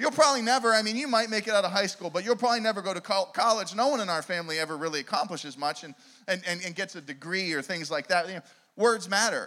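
This man uses a raised, projected voice with a high pitch, a bright, sharp tone and an animated delivery. He talks at a very fast pace on a very clean recording with a silent background. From Pittsburgh, Pennsylvania. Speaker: evangelist, guest preacher. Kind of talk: sermon. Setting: church with live audience. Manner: repetitive stammering restarts.

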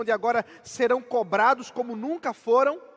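This man's voice sits extremely high in pitch, with ordinary pitch variation and a dry, close sound that has no echo. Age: 30s. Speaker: pastor. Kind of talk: sermon.

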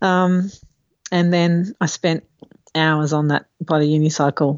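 A woman speaks at a very deep, low pitch with fairly even intonation and very even loudness. She leaves long, frequent pauses. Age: 50s. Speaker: government accountant and unicycle adventurer. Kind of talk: casual chat.

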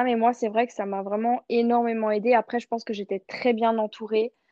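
Her voice is fairly high in pitch. The woman's intonation stays monotone, flat. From France, Nice. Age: 20s. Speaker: trainee fitness coach. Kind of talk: casual chat. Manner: stammering, hesitant.

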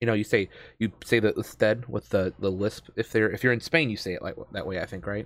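A man with a plain, everyday voice speaks at a moderate pace and fairly low pitch, in a dry, close sound with no echo. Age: 30s. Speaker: podcast host and streamer. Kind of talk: casual chat. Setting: remote call.

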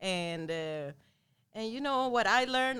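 A woman with an ordinary speaking voice talks at a moderate pace with lively intonation, in a very clean recording with a silent background. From Sweden (Lund, far south), Latin American parents. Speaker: boxing champion and fitness trainer. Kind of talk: interview. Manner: frequent laughter.

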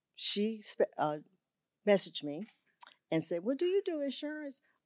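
On a very clean recording with a silent background, a woman with a Southern US accent speaks at a fairly slow pace. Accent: Southern US (Georgia). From US South, Augusta, Georgia. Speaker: insurance agent. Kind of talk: interview. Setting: studio.

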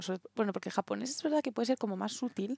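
A woman speaks at a very fast pace in a dark, mellow tone. The sound is dry and close, with no echo. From Spain. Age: 20s. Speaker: podcast co-host. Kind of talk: casual chat.

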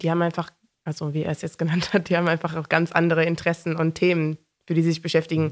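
In a very clean recording with a silent background, a woman speaks with a fairly low pitch and monotone, flat intonation. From East Belgium (German-speaking, Eupen). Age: 20s. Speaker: psychology student and young party member. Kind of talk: podcast interview.

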